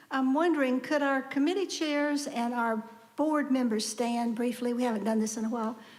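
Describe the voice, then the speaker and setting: Speaking at a moderate pace, a woman with a high-pitched voice is heard with audible room echo. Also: ordinary pitch variation, very even loudness. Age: 70s. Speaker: congregation lay leader. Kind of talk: church announcements. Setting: church service. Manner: conversational.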